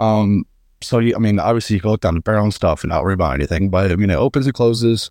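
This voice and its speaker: With an American accent, a man talks very fast at a fairly low pitch with ordinary pitch variation and very even loudness, in a very clean recording with a silent background and a dry, close sound with no echo. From northeastern Pennsylvania. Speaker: competitive trapshooter. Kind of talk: casual interview. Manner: hesitant, many fillers.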